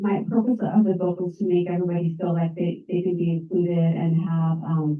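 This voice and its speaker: The delivery keeps a moderate pace with monotone, flat intonation. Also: woman. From Colorado. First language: American Sign Language. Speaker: real estate broker and author. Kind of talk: talk to a support group meeting.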